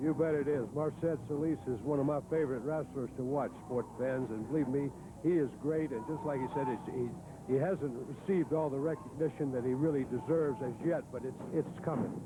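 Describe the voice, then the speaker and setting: A plain, everyday voice: a man with fairly high pitch, ordinary pitch variation and a fairly quick pace, with hardly any pauses. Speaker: wrestling commentator. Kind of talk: TV wrestling play-by-play.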